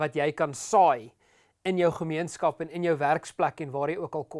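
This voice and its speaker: A quiet background behind ordinary pitch variation. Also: man. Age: 30s. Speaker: pastor. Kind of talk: sermon. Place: studio. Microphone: lapel.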